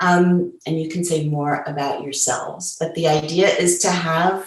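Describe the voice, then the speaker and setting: Her pitch fairly low and her intonation fairly even, a woman speaks somewhat breathily at a fairly slow pace. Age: 70s. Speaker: feminist activist, moderator. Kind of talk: panel discussion. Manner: hesitant fillers.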